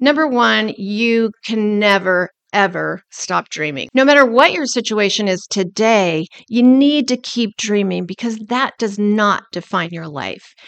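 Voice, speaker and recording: A woman with a normal speaking voice talks at a fairly slow pace, medium in pitch with lively intonation. The sound is dry and close, with no echo. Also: quiet background. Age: 60s. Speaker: life and business coach, podcast host. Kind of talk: motivational monologue.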